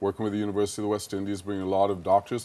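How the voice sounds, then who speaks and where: A man with a fairly low pitch and a Jamaican accent. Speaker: business executive. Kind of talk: TV interview.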